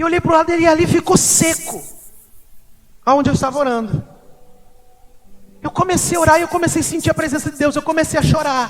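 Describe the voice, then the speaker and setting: Despite a fairly quick pace, a man with an extremely high pitch leaves long, frequent pauses amid noticeable background noise. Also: ordinary pitch variation. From Brazil, Mato Grosso do Sul (Corumbá). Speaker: pastor. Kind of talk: sermon with personal testimony. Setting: church service.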